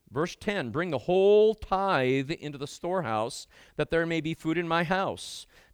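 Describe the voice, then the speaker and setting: An unremarkable speaking voice from a man, fairly high in pitch at a moderate pace, with dry, close sound with no echo on a very clean recording with a silent background. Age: 60s. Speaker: guest preacher. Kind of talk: sermon.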